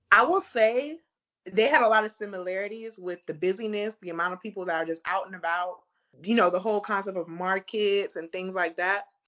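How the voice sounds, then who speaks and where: A woman's medium-pitched voice in an American accent, with ordinary pitch variation and a fairly quick pace. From USA. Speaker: travel blogger. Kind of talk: casual chat.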